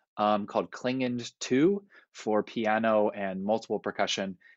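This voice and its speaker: A man speaks in a plain, everyday voice. His pitch is fairly low, with ordinary pitch variation. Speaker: university percussion professor. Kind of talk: panel discussion. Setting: video call.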